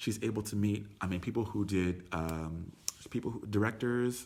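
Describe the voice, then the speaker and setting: A man talks in a fairly low pitch with lively intonation. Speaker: tour company owner giving business talk. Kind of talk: live stream talk. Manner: loud; animated.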